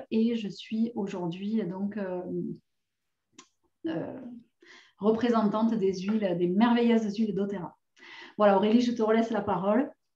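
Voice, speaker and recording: A woman's fairly slow, fairly high, somewhat breathy voice with a dark, mellow tone, fairly even intonation and long, frequent pauses. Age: 40s. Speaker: essential oils seller and course presenter. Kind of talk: online course introduction. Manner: hesitant, many fillers.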